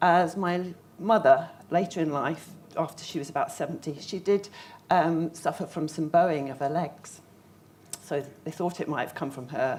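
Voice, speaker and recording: In a southern English accent, a woman with a fairly low pitch speaks at a moderate pace with fairly even intonation and long, frequent pauses. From southern England, Surrey. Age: 50s. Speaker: patient speaker. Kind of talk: conference talk. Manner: halting.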